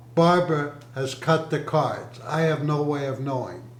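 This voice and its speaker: Through audible room echo and noticeable background noise, a man speaks at a fairly slow pace with a fairly high pitch for a man. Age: 80s+. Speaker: grandfather interviewed by his child. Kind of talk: family interview.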